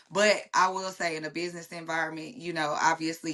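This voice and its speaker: The tone is bright and sharp, with fairly even intonation. The pace is fairly quick. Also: woman. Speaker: guest sharing life story. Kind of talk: casual interview conversation.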